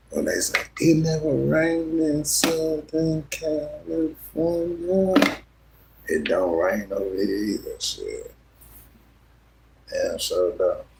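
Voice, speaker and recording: Over noticeable background noise, a man with a relaxed tone talks at a very slow pace, leaving long, frequent pauses. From US South. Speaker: live streamer. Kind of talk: casual livestream chat. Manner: relaxed, rambling.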